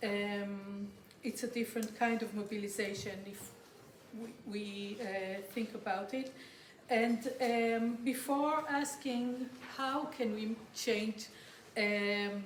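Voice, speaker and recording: Speaking very slowly with fairly even intonation, a woman with a fairly high pitch is heard over noticeable background noise and audible room echo. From Israel. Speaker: political anthropologist and activist. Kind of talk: conference talk. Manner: halting, many fillers.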